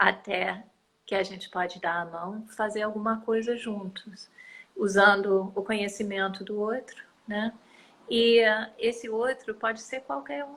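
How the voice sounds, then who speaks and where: A woman speaks at a fairly slow pace with a non-native accent. Her pitch is fairly high, with ordinary pitch variation. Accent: foreign accent in Portuguese. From United States. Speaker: environmental activist. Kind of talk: interview. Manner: hesitant, many fillers.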